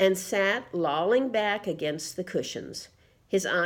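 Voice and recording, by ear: Someone reads aloud. It is in a natural voice.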